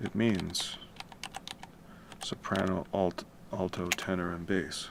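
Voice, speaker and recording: The delivery is very slow and monotone, with flat intonation over noticeable background noise. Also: man, very deep, low pitch for a man. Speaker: musician and composer livestreaming. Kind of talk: casual livestream tutorial. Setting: home at night, livestream. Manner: quiet, keeping voice down; casual, with many fillers.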